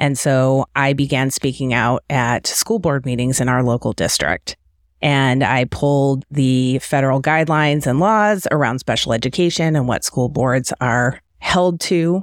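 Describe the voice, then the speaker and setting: A woman speaks at a fairly slow pace and a very deep, low pitch with ordinary pitch variation, hardly any pauses and very even loudness. The recording is very clean and silent in the background, with a dry, close sound and no echo. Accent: American. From Detroit area, Michigan. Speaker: parent activist, organization co-founder. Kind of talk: podcast interview. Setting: home studio.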